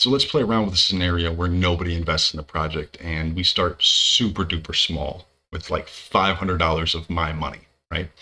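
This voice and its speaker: A man's very deep, low voice with a bright, sharp tone, at a fairly quick pace. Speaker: crypto project creator. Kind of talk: tutorial. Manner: fast.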